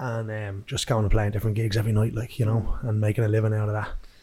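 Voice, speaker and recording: Talking at a very fast pace, a man speaks in a Dublin accent. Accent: Dublin Irish. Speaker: musician. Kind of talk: casual interview chat.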